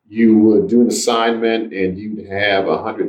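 A man with an American accent, fairly low in pitch, at a fairly slow pace, with monotone, flat intonation. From Washington, DC (Anacostia). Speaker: real estate developer. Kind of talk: interview.

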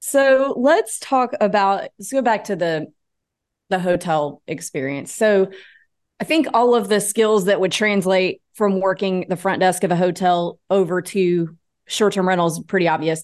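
A woman's unremarkable speaking voice at medium pitch, ordinary pitch variation, fairly slow pace, quiet background. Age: 30s. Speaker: podcast host and real estate agent. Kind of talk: interview.

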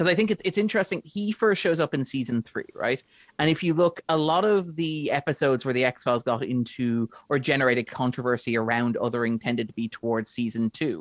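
Speaking fairly quickly with an Irish accent, a man uses lively intonation at a medium pitch, the sound dry and close with no echo. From Ireland. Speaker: film critic. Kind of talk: casual chat.

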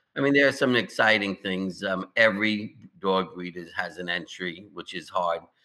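A man's bright, sharp voice with an American accent at a fairly slow pace. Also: quiet background. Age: 70s. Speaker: dog show judge and event manager. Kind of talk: casual interview chat.

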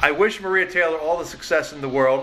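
Amid noticeable background noise, a man with a fairly high pitch talks at a fairly quick pace with ordinary pitch variation. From Philadelphia. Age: 50s. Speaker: podcast host, sports editor. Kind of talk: interview. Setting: studio.

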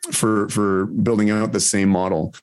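In a Canadian accent, a man talks with an ordinary speaking voice, a fairly low pitch and fairly even intonation on a very clean recording with a silent background. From Ontario, Canada. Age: 40s. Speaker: physician and nuclear energy advocate. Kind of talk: interview.

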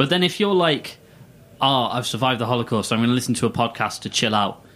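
In a normal speaking voice, a man of medium pitch talks at a fairly quick pace. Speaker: co-host. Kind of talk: casual chat, joking. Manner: joking, playful.

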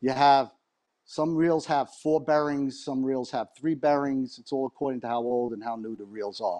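Against a quiet background, a dark, mellow voice speaks at a moderate pace with ordinary pitch variation. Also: man, medium pitch for a man. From New York area. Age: 60s. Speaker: fishing reel repair technician. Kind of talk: interview. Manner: chatty.

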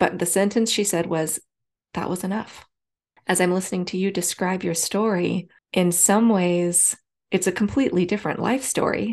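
At a moderate pace, a woman speaks in a normal speaking voice. Her pitch is medium and her intonation fairly even. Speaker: podcast host. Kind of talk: casual interview.

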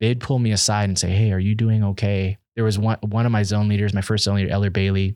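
A man with an American accent talks very fast in a fairly low, monotone, flat voice at very even loudness. The recording is very clean with a silent background and a dry, close sound with no echo. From Washington DC, with childhood in Nicaragua. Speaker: returned missionary and barbershop owner. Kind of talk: casual interview chat, personal storytelling. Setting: podcast recording.

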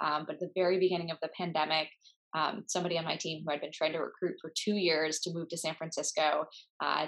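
In an Upper Midwest accent, a woman speaks with a fairly low pitch. Her pace is fairly quick and her intonation fairly even. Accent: Upper Midwest American. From US Midwest, Minnesota. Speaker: startup founder. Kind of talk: interview.

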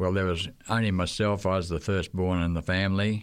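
With an Australian accent, a man speaks at a moderate pace in a very deep, low pitch. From Australia, Queensland. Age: 80s+. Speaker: retired missionary teacher. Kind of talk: casual interview, recalling stories. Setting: radio studio.

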